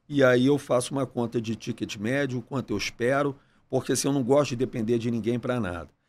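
Fairly even intonation from a man speaking at a fairly quick pace. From Brazil, Rio de Janeiro. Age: 40s. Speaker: entrepreneur, restaurant chain CEO; podcast guest. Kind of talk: casual interview. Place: studio. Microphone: studio mic.

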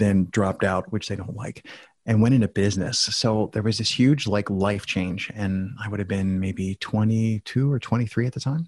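On a very clean recording with a silent background, a man speaks at a moderate pace with a fairly low pitch. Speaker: podcast guest with many personal projects. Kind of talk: casual interview conversation.

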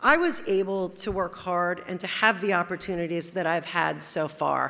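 A woman's bright, sharp tone at a moderate pace. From New Jersey (Teaneck); New Jersey. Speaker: corporate lawyer, award honoree; corporate lawyer. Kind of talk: award acceptance speech. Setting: stage at awards luncheon. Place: hall. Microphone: podium.

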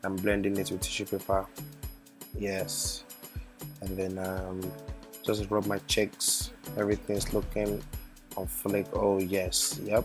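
Music plays in the background as a man with a fairly low pitch speaks at a very slow pace. His intonation is fairly even, broken by long, frequent pauses. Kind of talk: comedic voiceover narrating a makeup tutorial. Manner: playful, joking.

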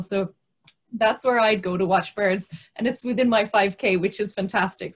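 With a Kerry accent, a woman speaks at medium pitch in a somewhat breathy voice with fairly even intonation. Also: quiet background. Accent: Kerry Irish. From Kerry, Ireland; Ireland. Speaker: biosphere officer; webinar host from a biosphere reserve. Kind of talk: webinar introduction. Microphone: video call.

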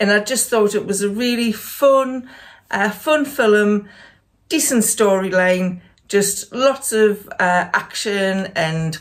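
A woman speaks at a very slow pace. Her intonation is lively, and the background is quiet. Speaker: lifestyle vlogger. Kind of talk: casual vlog chat. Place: home room.

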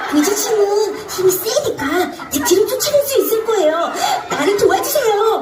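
An extremely high-pitched, cartoonish character voice speaks at a moderate pace with long, frequent pauses. Loud background noise and a slight echo fill the clip. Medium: puppet show. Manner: polite.

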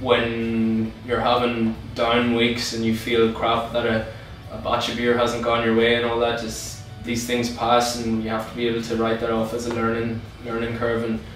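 Music plays in the background, with audible room echo. A man talks at a moderate pace in a monotone, flat intonation. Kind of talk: interview answer. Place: office.

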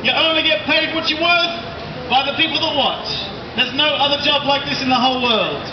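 The pace is fairly quick, broken by long, frequent pauses. Noticeable background noise is present. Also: man, very even loudness. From Australia. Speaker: street performer. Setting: outdoors. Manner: cheeky, joke-a-line delivery, laughing at his own gags between punchlines; loud, commanding projection to direct helpers and a street crowd.

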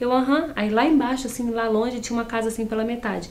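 This is a woman's voice. She talks at a very fast pace. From Nova Friburgo, Rio de Janeiro state, Brazil. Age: 30s. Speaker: interview guest. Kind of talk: casual interview. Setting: TV studio. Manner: relaxed, chatty, laughs often. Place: studio.

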